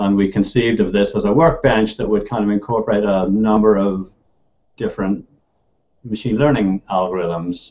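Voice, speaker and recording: A man with a Northern Irish accent talks at a moderate pace in a fairly low voice with ordinary pitch variation. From Northern Ireland. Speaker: computer science professor. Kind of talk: interview.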